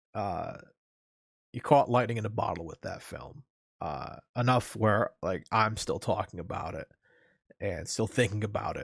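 Here a man speaks fairly slowly at a fairly low pitch, with ordinary pitch variation and some breathiness. The recording is very clean, with a silent background. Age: 30s. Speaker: podcast host. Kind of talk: casual solo podcast talk. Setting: live stream. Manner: animated.

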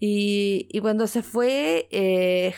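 Speaking with a Chilean accent and ordinary pitch variation, the voice comes through on a very clean recording with a silent background. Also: woman. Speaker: podcast host telling her story. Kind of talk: personal storytelling.

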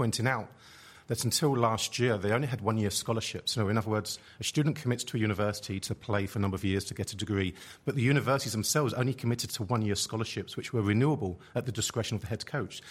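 Very fast speech from a man at medium pitch, somewhat breathy, with ordinary pitch variation and a very clean recording over a silent background. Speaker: sociology professor. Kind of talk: panel discussion.

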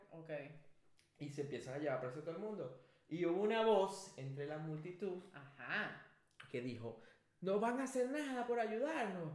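High-pitched male speech with very wide pitch swings, long, frequent pauses and audible room echo. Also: moderate pace. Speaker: podcast co-host. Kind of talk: casual chat. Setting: studio.

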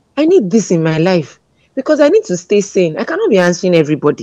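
A woman with a dark, mellow tone sweeps through very wide pitch swings. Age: 20s. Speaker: guest. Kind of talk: casual interview chat.

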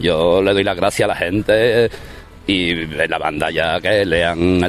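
Noticeable background noise sits behind a man with a very deep, low pitch. His loudness stays very even and his pitch varies in an ordinary way. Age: 30s. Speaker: musician. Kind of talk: interview. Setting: outdoors in a city square.

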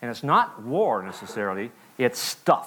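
This voice has vocal fry and an American accent. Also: man. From Montana. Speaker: war veteran. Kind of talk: sermon. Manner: halting.

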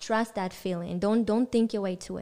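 A woman's dark, mellow voice with an Israeli accent. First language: Hebrew. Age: 20s. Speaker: dancer. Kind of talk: casual chat.

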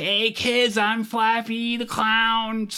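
Put-on character voice, fairly high, with monotone, flat intonation. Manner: creepy, unsettling.

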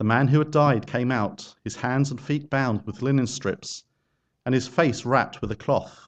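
This man's unremarkable speaking voice sits at a medium pitch, with ordinary pitch variation and a moderate pace. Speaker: scripture reader. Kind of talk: reading aloud. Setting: church.

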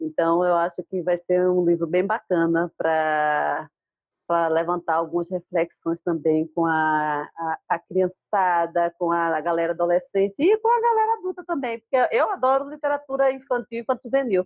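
At a moderate pace and very even loudness, a woman with a fairly low pitch and lively intonation speaks in an unremarkable speaking voice. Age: 40s. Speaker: writer and poet. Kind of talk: casual chat. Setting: video call.

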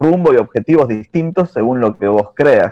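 A man with a Buenos Aires accent has a dark, mellow tone and ordinary pitch variation. He speaks at a moderate pace in a dry, close sound with no echo. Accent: Buenos Aires rioplatense Spanish. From Argentina, southern Greater Buenos Aires (Lanús). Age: 30s. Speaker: churchgoer guest. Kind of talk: casual chat.

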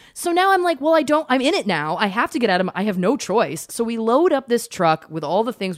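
Over noticeable background noise, a woman talks at a fairly quick pace with very wide pitch swings. Her tone is animated and enthusiastic. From Canada. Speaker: podcast host. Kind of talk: casual interview chat. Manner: animated, enthusiastic.

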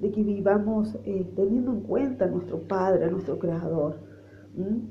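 A woman speaks at a fairly slow pace in a medium pitch with vocal fry and ordinary pitch variation, and room echo can be heard. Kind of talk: devotional sermon. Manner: halting, with fillers.

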